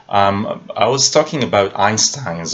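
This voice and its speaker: A man with a non-native accent speaks at a very slow pace. Noticeable background noise runs underneath. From Israel. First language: Hebrew. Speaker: film analyst YouTuber. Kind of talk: video commentary monologue. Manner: halting with many fillers.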